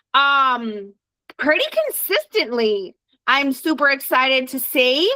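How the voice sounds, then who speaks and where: A woman speaks in a raised, projected voice with a high pitch. Her tone is animated, bright and sharp. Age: 40s. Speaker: direct sales team leader and trainer. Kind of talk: team training call.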